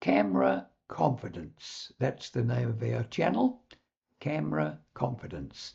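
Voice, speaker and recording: A man with a very deep, low pitch and a New Zealand accent speaks at a fairly slow pace in a dark, mellow tone, with very wide pitch swings and vocal fry. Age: 80s+. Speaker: public speaking coach. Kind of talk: direct-to-camera talk.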